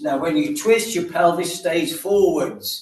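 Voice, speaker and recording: Audible room echo surrounds a man who talks at a fairly slow pace with lively intonation. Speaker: exercise class instructor. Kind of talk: guided exercise class instruction.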